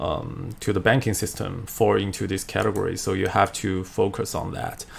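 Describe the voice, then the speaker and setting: A man with a Chinese accent speaks at a moderate pace with vocal fry. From China. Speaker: finance video creator; economics lecturer. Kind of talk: tutorial. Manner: halting, many fillers. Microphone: webcam.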